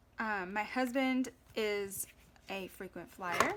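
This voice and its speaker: In a Southern US accent, a woman speaks with a fairly high pitch and a bright, sharp tone. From US South. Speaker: planner vlogger. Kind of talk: tutorial. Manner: casual.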